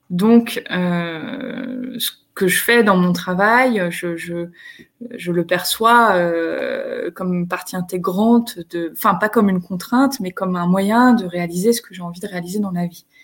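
Speaking at a very slow pace, a woman sounds somewhat breathy. Her loudness makes big swings. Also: medium pitch for a woman, ordinary pitch variation. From northern France, Picardy. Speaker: HR entrepreneur and speaker. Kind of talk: live video interview. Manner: halting, repeats words.

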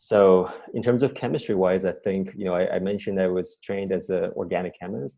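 A man with a Chinese accent talks at a fairly quick pace in a fairly low voice with a dark, mellow tone. The background is quiet. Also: ordinary pitch variation. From China. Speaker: chemistry professor. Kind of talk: interview. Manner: halting.

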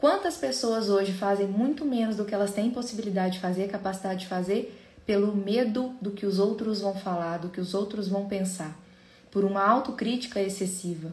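Room echo can be heard around a woman's voice. Her pitch rises and falls in an ordinary way. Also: medium pitch for a woman, moderate pace. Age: 30s. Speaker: podcast host, psychologist. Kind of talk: solo educational talk.

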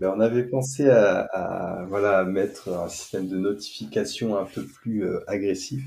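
Using a dark, mellow tone, a man talks at a fairly slow pace with hardly any pauses and ordinary pitch variation. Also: fairly low pitch for a man. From western France, near Nantes. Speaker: neurofeedback practitioner. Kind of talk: casual chat.

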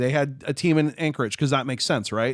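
A man talking at a very fast pace in a very clean recording with a silent background. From US Midwest, Chicago. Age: 30s. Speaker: YouTuber and accessible gaming advocate. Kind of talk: casual chat.

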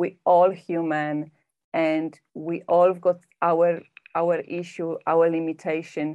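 Speaking with a Polish accent, a woman talks at a very slow pace, her fairly low pitch delivered in a monotone, flat intonation. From Poland. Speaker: personal development coach and hypnotherapist. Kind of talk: podcast interview.

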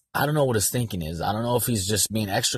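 Against a quiet background, a man with an American accent talks very fast in a fairly low register, his tone animated. His voice is somewhat breathy, and his pitch varies an ordinary amount. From San Diego, California. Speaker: sports podcast host. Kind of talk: solo sports commentary monologue. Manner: casual, animated.

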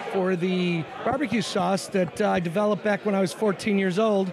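Over noticeable background noise, a man with a high pitch speaks in a fairly even intonation. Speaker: restaurant owner. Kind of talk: casual chat.

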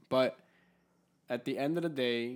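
On a very clean recording with a silent background, a man with a normal speaking voice talks at a medium pitch and a fairly slow pace. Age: 20s. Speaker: podcast co-host. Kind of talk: casual chat. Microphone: new handheld mic.

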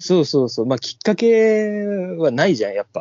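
With very wide swings in pitch, this man keeps to a moderate pace. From Hokkaido, Japan. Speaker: podcast co-host. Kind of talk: casual chat.

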